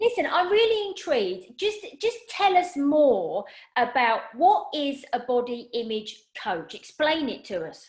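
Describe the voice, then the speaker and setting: Speaking in a southern English accent, a woman uses a high pitch with very wide swings, at a fairly slow pace. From southern England. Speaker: personal stylist, podcast host. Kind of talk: casual interview chat. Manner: animated.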